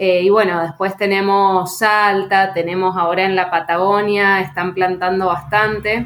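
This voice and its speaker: A woman speaks at a fairly slow pace with a monotone, flat intonation. Her loudness stays very even, with hardly any pauses. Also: medium pitch for a woman. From Argentina, Mendoza. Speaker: winemaker and agronomist. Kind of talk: interview.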